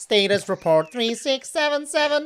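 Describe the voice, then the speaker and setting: The voice is a put-on character voice pitched high. It moves at a moderate pace. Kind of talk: formal, courteous.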